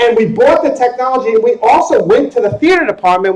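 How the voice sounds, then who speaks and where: Loud and very fast, a man with an American accent talks with very wide pitch swings. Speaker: conference speaker on educational technology. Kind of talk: conference presentation. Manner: casual, conversational. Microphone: sound problems during part of the recording.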